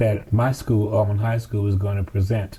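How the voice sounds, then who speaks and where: Speaking at a fairly quick pace, a man uses a fairly low pitch with monotone, flat intonation and a dark, mellow, somewhat breathy tone. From US South, Birmingham, Alabama. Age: 70s. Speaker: civil rights veteran. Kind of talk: interview.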